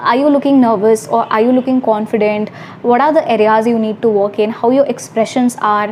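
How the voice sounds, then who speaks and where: A woman's fairly high voice in an Indian accent, at a fairly quick pace, with ordinary pitch variation, very even loudness and noticeable background noise. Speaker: YouTuber. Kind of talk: vlog advice talk. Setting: hostel room, self-recorded. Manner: fast.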